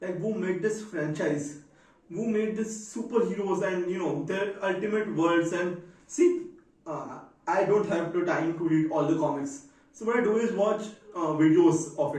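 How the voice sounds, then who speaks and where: Audible room echo surrounds a man's high-pitched voice. His pitch shows ordinary variation. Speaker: vlogger. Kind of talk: casual vlog monologue. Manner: deliberately slowed down.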